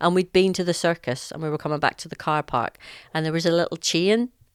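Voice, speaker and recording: A very fast woman's voice with a Northern Irish accent, fairly low in pitch, on a very clean recording with a silent background. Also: dry, close sound with no echo. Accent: Northern Irish, heavy. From Northern Ireland, Lisburn. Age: 50s. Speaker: podcast guest, host's mother. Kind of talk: casual chat.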